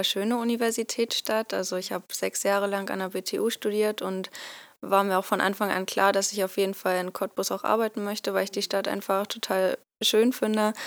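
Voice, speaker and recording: A woman's medium-pitched, monotone voice at a moderate pace, dry and close with no echo, on a very clean recording with a silent background. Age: 20s. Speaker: software developer. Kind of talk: podcast interview.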